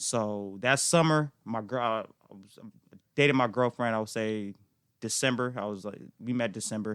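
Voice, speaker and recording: Here a man with an unremarkable speaking voice talks at a moderate pace and medium pitch, using ordinary pitch variation on a very clean recording with a silent background. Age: 20s. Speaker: real estate agent. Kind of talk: casual chat.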